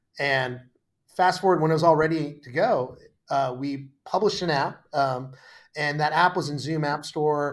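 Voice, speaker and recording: A man's fairly high voice holds fairly even intonation. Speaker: tech startup founder and CEO. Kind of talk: podcast interview. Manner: fast.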